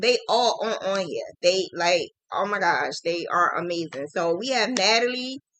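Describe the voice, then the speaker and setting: A woman's medium-pitched voice in an American accent, fairly slow, with lively intonation. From New Jersey, Jersey City. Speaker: crochet teacher. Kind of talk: live stream chat.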